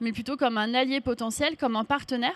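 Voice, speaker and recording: A woman's high voice with fairly even intonation. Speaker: public official speaking at a conference. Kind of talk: speech. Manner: fast.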